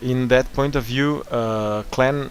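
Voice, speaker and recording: Through noticeable background noise, a man with a non-native accent speaks with fairly even intonation. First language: not English. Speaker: gaming tutorial host. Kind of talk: gaming tutorial narration.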